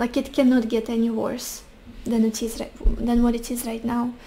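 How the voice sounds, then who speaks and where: A woman speaks in a high voice with a Russian accent, her intonation flat and monotone. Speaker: tarot reader. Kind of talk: tarot reading.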